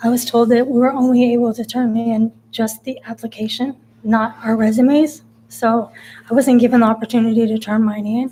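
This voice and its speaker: With a Californian accent, a woman speaks at a moderate pace in a fairly high pitch, her tone dark and mellow and her intonation monotone and flat. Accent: Californian American. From California, Central Valley. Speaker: city council applicant. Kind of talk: public statement at council meeting. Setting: council chambers. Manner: halting, stumbling over words.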